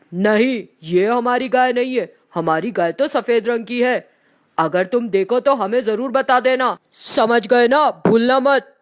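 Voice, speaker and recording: In a cartoonish character voice with fairly high pitch, the speaker goes at a fairly slow pace with hardly any pauses. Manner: gruff, curt.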